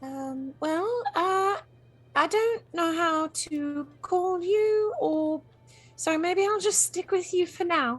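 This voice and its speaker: In a put-on character voice, a woman squeaks at an extremely high pitch, using lively intonation at a very slow pace. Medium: actual play. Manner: rambling, hesitant, self-deprecating.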